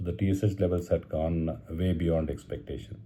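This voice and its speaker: With a Marathi Indian accent, a man speaks at a moderate pace in a very deep, low voice with vocal fry. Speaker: cancer survivor vlogger. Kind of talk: personal video diary. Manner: halting, many fillers.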